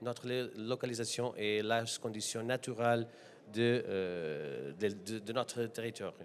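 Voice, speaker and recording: Speaking with a Portuguese accent, a man holds a medium pitch with ordinary pitch variation. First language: Portuguese (speaking French). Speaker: deputy mayor. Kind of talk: panel discussion. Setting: conference with audience. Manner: halting, many hesitations.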